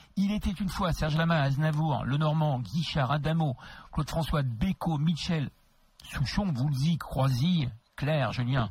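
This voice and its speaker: A man talks with a fairly high pitch and ordinary pitch variation, somewhat breathy. The recording is very clean, with a silent background. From Paris region (Créteil). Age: 60s. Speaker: radio host. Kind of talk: interview. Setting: studio.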